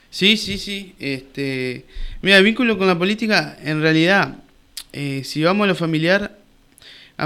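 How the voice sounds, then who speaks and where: A man talks at a fairly slow pace in a bright, sharp tone with ordinary pitch variation, on a very clean recording with a silent background. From Uruguay, Colonia department. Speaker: businessman and local politician. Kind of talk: radio interview. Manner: halting, many repetitions and fillers.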